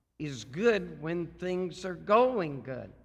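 A man's bright, sharp voice with very wide pitch swings. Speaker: evangelist preacher. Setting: church service. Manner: slow, deliberate talker; pauses to think before speaking, simplified grammar.

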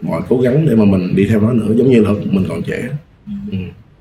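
Over noticeable background noise, a man talks at a moderate pace in a fairly low pitch with ordinary pitch variation. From Mekong Delta, southern Vietnam. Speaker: film director and lecturer. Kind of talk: casual podcast interview. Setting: studio.

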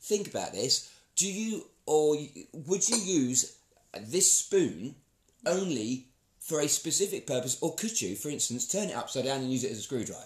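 A man's fairly high, somewhat breathy voice swings very widely in pitch. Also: moderate pace. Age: 40s. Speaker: podcast co-host. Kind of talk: casual chat.

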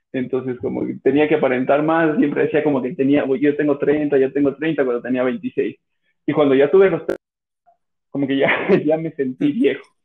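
This man speaks at a moderate pace. His pitch is fairly high, with fairly even intonation. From Ecuador, Cuenca. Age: 30s. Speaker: podcast guest. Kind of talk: casual chat. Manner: halting, many repetitions.

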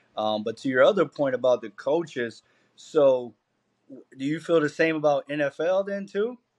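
A man with an American accent speaks at a moderate pace in a plain, everyday voice, fairly high in pitch with lively intonation, on a dry, close recording with no echo. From Camden, New Jersey. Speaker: college football coach. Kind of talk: casual chat.

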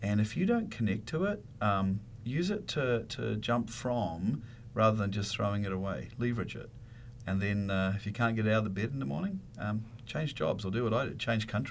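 With a New Zealand accent, a man speaks at a moderate pace and a fairly low pitch, with audible room echo. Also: ordinary pitch variation. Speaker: university dean, veterinarian. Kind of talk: radio interview.

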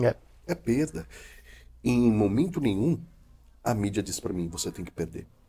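A man with a fairly low pitch and a dark, mellow tone speaks at a moderate pace, somewhat breathy. His pitch swings very widely, and he takes long, frequent pauses. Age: 40s. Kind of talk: casual chat.

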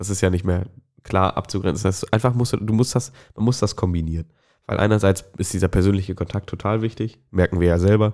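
A very fast-talking man at a fairly low pitch, in a very clean recording with a silent background. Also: fairly even intonation. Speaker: podcast co-host at a startup. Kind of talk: casual chat. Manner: speaks sparingly to spare voice.

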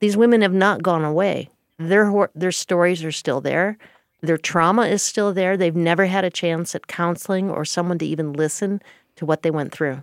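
A woman uses an ordinary speaking voice at fairly low pitch and a moderate pace, with fairly even intonation. The recording is very clean with a silent background and a dry, close sound with no echo. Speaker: investigative journalist. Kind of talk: interview conversation.

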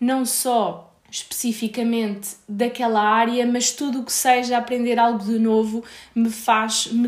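With a European Portuguese accent, a woman talks at a fairly high pitch in a flat, monotone way, with noticeable background noise. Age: 20s. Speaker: podcast host, recruiter. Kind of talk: solo podcast monologue.

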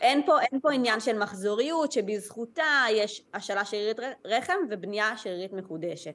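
In a normal speaking voice, a woman talks at a moderate pace with hardly any pauses, a fairly high pitch, and lively intonation. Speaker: Chinese medicine practitioner. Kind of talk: interview, casual chat.

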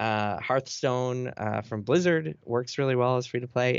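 Here is a man with a plain, everyday voice and ordinary pitch variation. He speaks at a fairly quick pace. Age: 30s. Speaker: games journalist. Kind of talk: interview.

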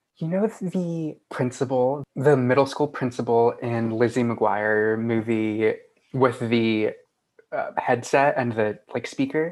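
Against a quiet background, a man speaks at a very slow pace, his medium pitch showing ordinary variation. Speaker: guest, office worker and student. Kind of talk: casual chat. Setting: video call.

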